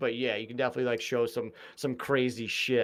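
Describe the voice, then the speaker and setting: A man with a Boston accent, at a moderate pace. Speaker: mental health advocate and podcast host. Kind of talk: casual chat.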